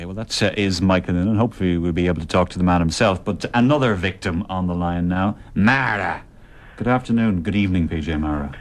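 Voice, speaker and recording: Talking at a very fast pace, a man with an Irish accent has a very deep, low pitch and ordinary pitch variation. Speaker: radio presenter. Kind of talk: radio tribute show.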